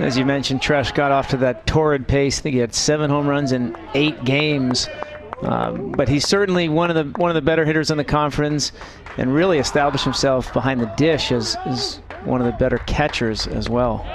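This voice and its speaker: A man with a fairly high pitch talks with ordinary pitch variation and very even loudness over noticeable background noise. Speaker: baseball color analyst, former player. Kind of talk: live sports commentary.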